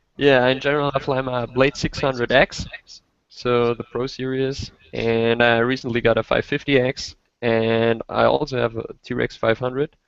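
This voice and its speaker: A man speaks at medium pitch and a moderate pace in a German accent, his intonation monotone and flat. The sound is dry and close, with no echo. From Austria. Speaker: RC helicopter hobbyist, simulator beta tester. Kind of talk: casual chat.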